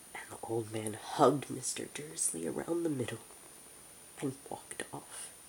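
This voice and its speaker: With noticeable background noise behind him, a man speaks at a moderate pace. His pitch swings very widely and his loudness rises and falls sharply. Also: medium pitch for a man. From United States. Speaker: ASMR creator. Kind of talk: ASMR audiobook reading. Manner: soft-spoken.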